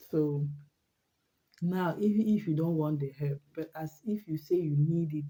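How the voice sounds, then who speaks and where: Speaking fairly slowly, a woman with a very deep, low, somewhat breathy voice and a dark, mellow tone uses ordinary pitch variation. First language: not English. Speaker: vlogger. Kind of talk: casual monologue vlog. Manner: halting, with repetitions.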